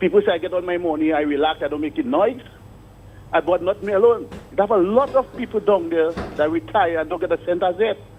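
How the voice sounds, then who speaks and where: Noticeable background noise behind a man's moderately paced speech, his pitch varying in an ordinary way. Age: 60s. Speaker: retired port worker. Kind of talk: radio call-in complaint. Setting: phone call.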